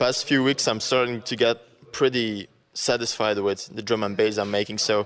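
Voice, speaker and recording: Noticeable background noise surrounds a man speaking with a Flemish accent. His medium-pitched voice moves at a moderate pace in a flat monotone. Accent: Belgian (Flemish) accent in English. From Belgium. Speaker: dubstep producer and DJ. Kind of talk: interview. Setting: radio interview. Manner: hesitant, many fillers.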